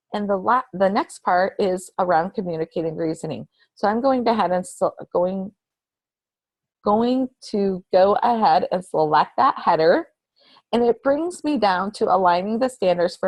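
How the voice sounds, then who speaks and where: A woman speaks at a moderate pace in a normal speaking voice. Her medium pitch carries lively intonation. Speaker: state education official presenting a webinar. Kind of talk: recorded instructional webinar presentation.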